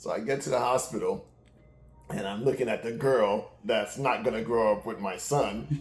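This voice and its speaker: The man talks at a moderate pace and medium pitch, his voice somewhat breathy. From New York City. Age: 60s. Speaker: uncle of the channel owner. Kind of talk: casual chat.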